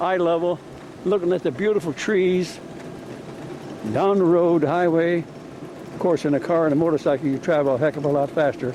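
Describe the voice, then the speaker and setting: Over noticeable background noise, a high-pitched man talks at a fairly quick pace with long, frequent pauses, very even loudness, and ordinary pitch variation. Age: 90s. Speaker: amateur video maker. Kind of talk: casual narration while filming. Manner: rambling, conversational.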